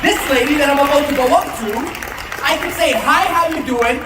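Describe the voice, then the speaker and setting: An animated tone with ordinary pitch variation, noticeable background noise and audible room echo. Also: man. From Canada. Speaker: motivational sales speaker. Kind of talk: motivational speech. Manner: fast.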